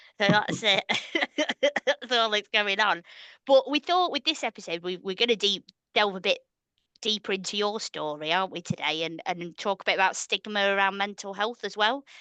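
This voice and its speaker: Her tone is bright and sharp, with ordinary pitch variation, recorded dry and close with no echo against a quiet background. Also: medium pitch for a woman, moderate pace. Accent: northern English. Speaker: podcast co-host. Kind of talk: casual chat.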